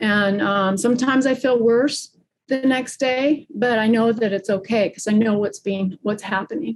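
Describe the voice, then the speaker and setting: The delivery is somewhat breathy and moves at a moderate pace. Its pitch variation is ordinary. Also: woman, fairly high pitch for a woman. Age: 60s. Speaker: fascia practitioner and gymnast. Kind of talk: casual chat.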